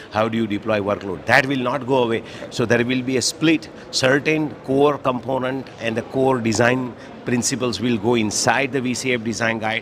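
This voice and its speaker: The voice has fairly even intonation, with noticeable background noise in the recording. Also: man, medium pitch for a man. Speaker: network architect. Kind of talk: interview. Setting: conference floor. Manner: fast.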